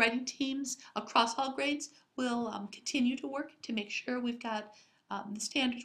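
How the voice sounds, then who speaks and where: A woman speaks at a moderate pace in a squeaky voice with fairly high pitch. Her intonation stays fairly even. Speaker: school district curriculum administrator. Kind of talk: recorded staff presentation. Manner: hesitant with filler words.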